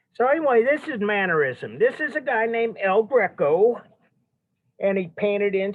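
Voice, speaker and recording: A loud man's voice at a moderate pace, with very wide pitch swings. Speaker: art history teacher. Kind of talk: lecture.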